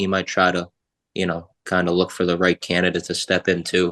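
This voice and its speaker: A man speaks in a Boston accent. The sound is dry and close with no echo, over a quiet background. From Boston area. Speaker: sports podcast guest, former equipment staffer. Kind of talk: casual chat.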